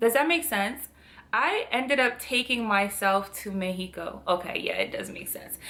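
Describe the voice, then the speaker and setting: An animated voice with a French accent and lively intonation, spoken at a moderate pace. Loudness swings widely from moment to moment. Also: woman, fairly high pitch for a woman. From Cameroon. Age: 30s. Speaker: lifestyle vlogger. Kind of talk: vlog narration.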